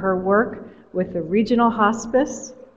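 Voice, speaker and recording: The speech shows ordinary pitch variation. Noticeable background noise runs underneath. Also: woman. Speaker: award ceremony presenter. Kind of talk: reading award citations at ceremony. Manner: soft-spoken.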